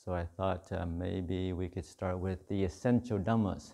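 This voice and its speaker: A man speaks at a fairly slow pace in a very deep, low pitch, with fairly even intonation over a quiet background. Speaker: monk teacher. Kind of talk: dharma talk. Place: hall.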